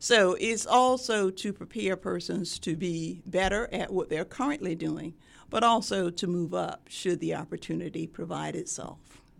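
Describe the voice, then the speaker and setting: Recorded very cleanly against a silent background, a woman talks with an American accent and vocal fry. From US South, Sumter, South Carolina. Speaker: nursing professor. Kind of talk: interview.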